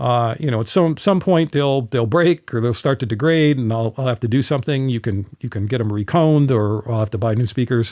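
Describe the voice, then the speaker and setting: Speaking at a fairly quick pace, a man uses a medium pitch with ordinary variation. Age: 60s. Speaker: live sound engineer. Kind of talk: tutorial. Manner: halting, with many fillers and repeats.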